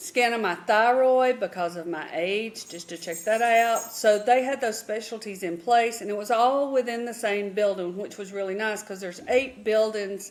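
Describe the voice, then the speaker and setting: Over music in the background, a woman with a Southern US accent speaks at a moderate pace in a fairly high pitch, with ordinary pitch variation, big swings in loudness, and hardly any pauses. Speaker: retired nurse, travel vlogger. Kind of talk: casual chat.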